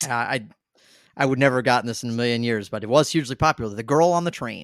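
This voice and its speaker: A man's medium-pitched voice with an American accent, ordinary pitch variation, and a very fast pace on a very clean recording with a silent background. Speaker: trivia quiz host. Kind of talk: quiz show hosting, reading questions.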